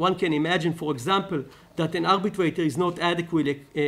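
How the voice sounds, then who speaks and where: A man speaks in an Israeli accent. His pace is fairly quick. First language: Hebrew. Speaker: law lecturer. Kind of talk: conference talk. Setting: stage with audience. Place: hall. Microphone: podium.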